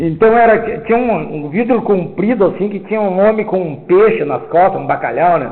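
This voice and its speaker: With audible room echo and noticeable background noise, a man speaks at a high pitch and moderate pace with lively intonation. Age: 70s. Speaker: spiritist lecturer. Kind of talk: lecture. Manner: loud.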